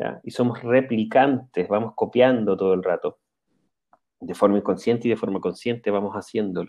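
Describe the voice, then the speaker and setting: This man has a plain, everyday voice at a medium pitch. His intonation is fairly even and his pace is moderate. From Chile, central region. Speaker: spiritual channeler. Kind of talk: interview.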